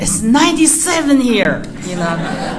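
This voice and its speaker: A woman speaks at a fairly slow pace with a Chinese accent. Audible room echo and noticeable background noise surround her voice. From China. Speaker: artist. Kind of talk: artist talk. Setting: museum talk with audience. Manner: loud; halting.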